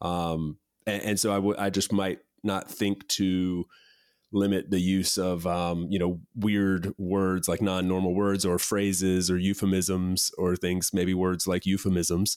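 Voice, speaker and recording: A man's very deep, low voice at a fairly slow pace, with very even loudness and a monotone, flat intonation. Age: 30s. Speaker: podcast host. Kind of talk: casual interview chat. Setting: video call.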